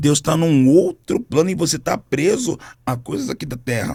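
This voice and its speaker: There is vocal fry in this man's voice. He lets his pitch rise and fall across a very wide span. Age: 40s. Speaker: gospel singer and minister. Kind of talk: podcast interview. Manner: animated.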